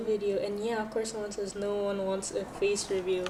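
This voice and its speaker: A woman with a Filipino accent at a fairly quick pace, medium-pitched, amid audible room echo and noticeable background noise. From Philippines. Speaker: art streamer. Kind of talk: casual livestream chat while drawing. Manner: calm.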